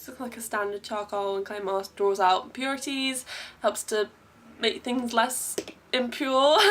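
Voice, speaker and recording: In an English accent, a woman with a fairly high pitch and a bright, sharp tone speaks at a moderate pace with fairly even intonation. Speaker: beauty vlogger. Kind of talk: tutorial. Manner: casual chatty.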